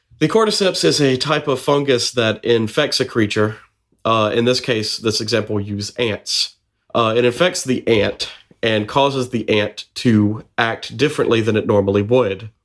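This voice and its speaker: Here a man has an unremarkable speaking voice, medium pitch, ordinary pitch variation and a moderate pace. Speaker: podcast co-host. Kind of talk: casual podcast conversation.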